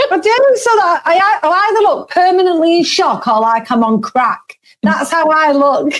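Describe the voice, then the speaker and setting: A woman talks at a moderate pace with hardly any pauses, her pitch extremely high. Her pitch swings very widely while her loudness stays very even. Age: 40s. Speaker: podcast co-host. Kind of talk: casual chat.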